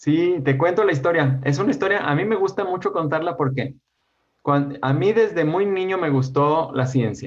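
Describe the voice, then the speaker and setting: A man's fairly high voice, an ordinary speaking voice, at a moderate pace with ordinary pitch variation and very even loudness. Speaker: educational YouTube creator. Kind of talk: interview conversation.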